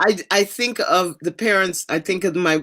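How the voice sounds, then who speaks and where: A woman speaks in a very clean recording with a silent background. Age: 60s. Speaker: podcast co-host. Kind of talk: casual chat. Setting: podcast recording.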